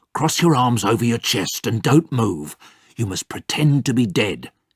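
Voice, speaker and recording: At a moderate pace and medium pitch, a man puts on a character voice. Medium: read story.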